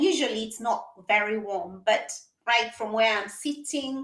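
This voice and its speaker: In an animated tone, a woman speaks at a fairly slow pace with ordinary pitch variation and audible room echo. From Kenya. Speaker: psychologist. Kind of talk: interview.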